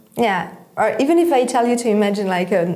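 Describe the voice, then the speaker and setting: A woman at a medium pitch and moderate pace, with audible room echo. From Switzerland. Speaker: head of a nonprofit on startup funding. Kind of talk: interview conversation.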